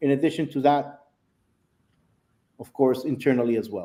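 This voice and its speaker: The speaker is a man. A non-native accent shapes his words. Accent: foreign accent, noticeable. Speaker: software sales executive. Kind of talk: product demo. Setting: live video stream.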